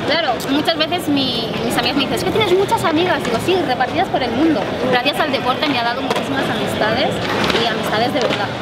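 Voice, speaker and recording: A woman speaks at a very fast pace against loud background noise. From Barcelona, Spain. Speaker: retired Olympic gymnast. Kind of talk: casual interview chat. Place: street.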